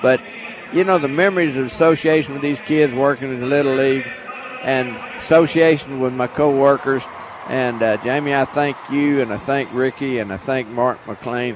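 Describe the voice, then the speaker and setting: There is noticeable background noise as a man talks with a Texan accent. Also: medium pitch for a man, ordinary pitch variation, moderate pace. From Texas, Temple. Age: 70s. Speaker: football color commentator. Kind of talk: farewell remarks on sports radio.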